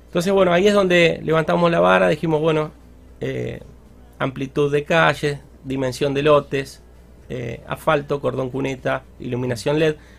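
A man's fairly high voice at a moderate pace with lively intonation, music in the background. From Argentina, Santa Fe province (near Rosario). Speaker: local government leader. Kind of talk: radio interview.

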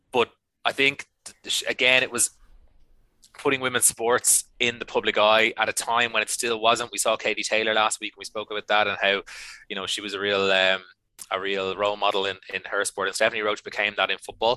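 A man with an Irish accent speaks at a fairly quick pace, his fairly low voice monotone and flat. The very clean recording has a silent background and a dry, close sound with no echo. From Ireland. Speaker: podcast co-host. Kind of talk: casual chat.

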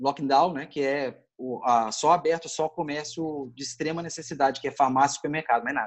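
A man speaks with fairly even intonation. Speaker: journalist and photographer. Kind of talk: casual chat.

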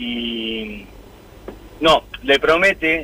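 A man talks in a Rioplatense accent. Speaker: radio caller. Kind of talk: anecdote. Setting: phone call.

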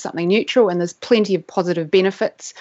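This woman speaks with a New Zealand accent. Her pitch sits in the medium range. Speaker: neuroscientist. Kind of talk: interview.

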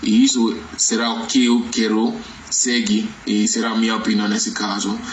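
A man with a Nigerian accent talks at a fairly slow pace, with noticeable background noise and audible room echo. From Nigeria, Lagos. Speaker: interview guest. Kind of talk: interview. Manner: halting, many fillers and self-corrections.

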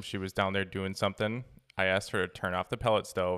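A man talks very fast with a Wisconsin accent. His pitch is very deep and low. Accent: Wisconsin accent, noticeable. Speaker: dog trainer and podcast host. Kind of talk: casual chat.

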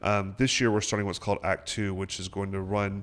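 A man with an American accent has an unremarkable speaking voice at a fairly low pitch and a moderate pace. The recording is very clean, with a silent background. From upstate South Carolina (Sparkle City). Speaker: theater artistic director and actor. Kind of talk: radio interview. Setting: radio studio.

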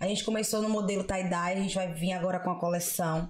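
Fairly quickly, a woman talks at medium pitch. Room echo is audible, and so is noticeable background noise. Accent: strong Bahian. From Salvador, Bahia, Brazil. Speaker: comedian. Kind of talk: casual chat.

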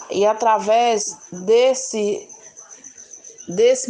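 A woman's fairly high voice amid noticeable background noise. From Minas Gerais, Brazil (Governador Valadares). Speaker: community resident, vegetable seller. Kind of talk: life story interview.

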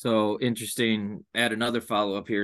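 Fairly quick and fairly low in pitch, a man talks in an unremarkable speaking voice. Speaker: basketball podcast host. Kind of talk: podcast interview.

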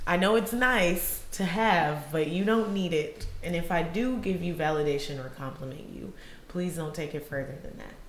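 Amid noticeable background noise, a woman with an American accent speaks at a moderate pace with a fairly low pitch, lively intonation and big swings in loudness. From Illinois and Georgia, US. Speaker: podcast co-host. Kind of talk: casual chat. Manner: animated.

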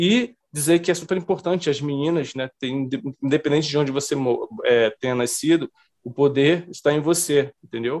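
At a moderate pace, a man speaks in a plain, everyday voice that sits fairly high in pitch with ordinary pitch variation. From Brazilian Northeast. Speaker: comic book artist. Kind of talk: interview.

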